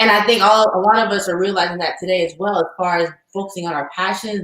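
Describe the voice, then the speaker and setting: A woman speaks in an ordinary speaking voice at a medium pitch. Her intonation is fairly even and her pace fairly quick. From US South (Alabama). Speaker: podcast host, subscription box founder. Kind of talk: interview.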